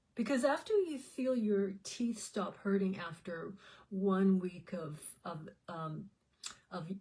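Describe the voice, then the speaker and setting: At a very slow pace, a woman speaks with a medium pitch and a dark, mellow, somewhat breathy tone. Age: 60s. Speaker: health supplement promoter and vlogger. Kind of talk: casual vlog monologue. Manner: halting, with many fillers and repeats.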